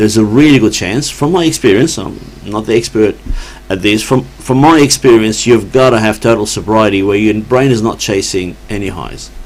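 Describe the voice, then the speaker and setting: A man talks at a moderate pace with fairly low pitch and ordinary pitch variation. Noticeable background noise sits behind him. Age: 60s. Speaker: addiction worker. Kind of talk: casual chat.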